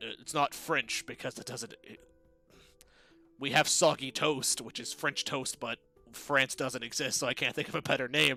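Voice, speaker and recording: A man does a raspy, put-on character voice at medium pitch, flat and monotone, with big swings in loudness, faint music in the background and a dry, close sound with no echo. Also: moderate pace. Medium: actual play. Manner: casual, rambling.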